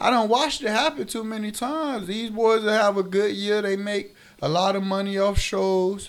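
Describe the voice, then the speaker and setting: A man with a high-pitched voice speaks at a moderate pace with ordinary pitch variation. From Miami, Florida. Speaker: rapper. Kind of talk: casual interview chat.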